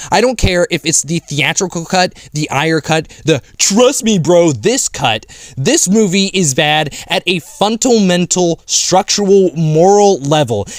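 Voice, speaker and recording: A man shouting, loud and high-pitched, with lively intonation, a fairly slow pace and hardly any pauses. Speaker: film reviewer. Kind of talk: angry rant. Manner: loud, screaming.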